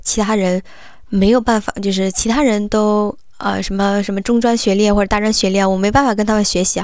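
At a fairly quick pace, a woman speaks at a medium pitch with fairly even intonation. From Hunan, Hengyang. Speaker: headhunter. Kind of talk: interview. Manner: halting.

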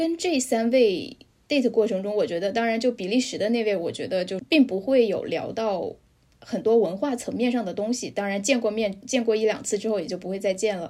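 Fairly quick in pace, a woman speaks at a fairly high pitch with a dark, mellow tone. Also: ordinary pitch variation. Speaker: Chinese expat in Europe. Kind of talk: casual chat.

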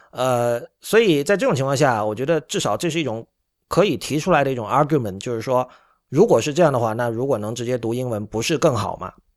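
Lively intonation at a very fast pace, on a very clean recording with a silent background. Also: man, medium pitch for a man. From China. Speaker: podcast host. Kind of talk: solo commentary monologue. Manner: frequent filler hesitations.

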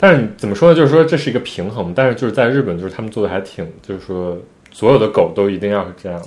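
This voice moves at a very fast pace with lively intonation and big swings in loudness. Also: man, fairly low pitch for a man. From China. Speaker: podcast co-host. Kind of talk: casual chat.

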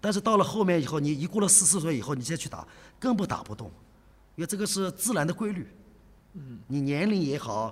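A man talks at a very fast pace in a high-pitched voice. His intonation is lively. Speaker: karate coach. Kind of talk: interview. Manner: halting.

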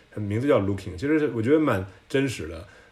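A man's somewhat breathy voice with lively intonation and audible room echo. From China, Tianjin. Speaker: service designer. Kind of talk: casual chat. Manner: halting.

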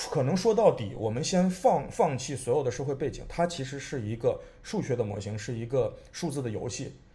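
A man's somewhat breathy voice, medium in pitch, with a dark, mellow tone, very wide pitch swings and a moderate pace. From China, Xi'an. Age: 30s. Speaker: artist. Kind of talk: casual chat. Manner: halting, repeats words.

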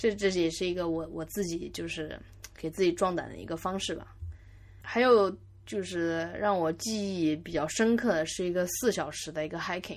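A woman's fairly low voice at a moderate pace, with ordinary pitch variation and big swings in loudness. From Yangzhou, Jiangsu, China. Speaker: podcast host. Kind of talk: solo podcast monologue. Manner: halting, many fillers and repeats.

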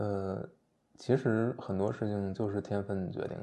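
Very slow speech from a man, fairly low in pitch, dark and mellow in tone, with fairly even intonation. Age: 30s. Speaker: writer and former podcast co-host. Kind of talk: casual chat.

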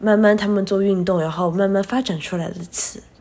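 A woman's somewhat breathy voice. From China. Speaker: special education teacher. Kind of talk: casual chat.

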